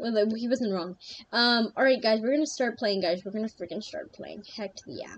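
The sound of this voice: Using an unforced reading voice, the speaker shows ordinary pitch variation.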